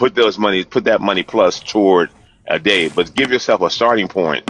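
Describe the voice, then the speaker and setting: The sound is dry and close, with no echo. A man talks at a moderate pace with very even loudness. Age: 60s. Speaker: finance discussion panelist. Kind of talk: casual group discussion.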